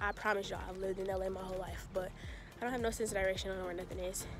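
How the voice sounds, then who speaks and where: A woman speaks very fast with fairly even intonation, the sound dry with no echo and clear music in the background. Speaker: vlogger. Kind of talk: casual vlog chat. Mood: playful, chatty. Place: open country. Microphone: phone near.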